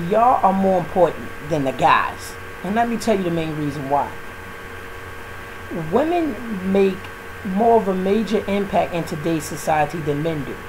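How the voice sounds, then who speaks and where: Through noticeable background noise, a high-pitched man speaks at a moderate pace with lively intonation and long, frequent pauses. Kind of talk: spoken word monologue to camera. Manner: casual, preachy.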